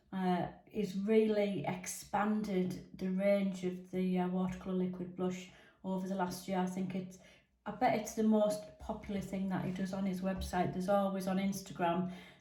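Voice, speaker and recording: Flat, monotone delivery from a woman at medium pitch and moderate pace, with noticeable background noise and audible room echo. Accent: English. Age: 60s. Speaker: makeup reviewer. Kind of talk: product review. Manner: casual with many fillers.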